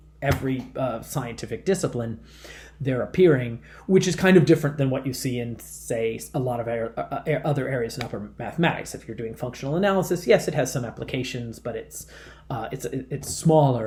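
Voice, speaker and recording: Speaking at a fairly quick pace, a man uses a medium pitch with ordinary variation. His voice has vocal fry. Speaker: math professor. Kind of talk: lecture. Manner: halting, many fillers and repetitions.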